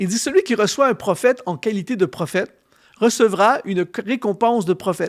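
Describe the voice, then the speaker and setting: A man with a high pitch speaks with a Canadian French accent. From Canada. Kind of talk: sermon-style teaching.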